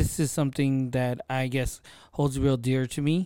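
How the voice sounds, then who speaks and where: Very slow speech in a dry, close sound with no echo. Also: man. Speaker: podcast host and content creator. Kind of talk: casual solo monologue. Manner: unscripted, off the cuff.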